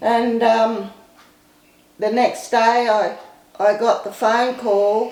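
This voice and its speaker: A woman with an Australian accent speaks in a fairly high, flat monotone. There is audible room echo and noticeable background noise. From Queensland, Australia. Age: 70s. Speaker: recovered addict telling life story. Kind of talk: testimony. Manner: halting.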